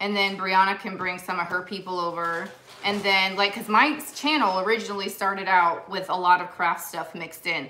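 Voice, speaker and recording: Light background noise sits behind a woman speaking at a fairly quick pace with ordinary pitch variation. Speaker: vintage reseller hosting live sale. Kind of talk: live-stream sale chat. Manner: chatty. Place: home room. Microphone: phone near.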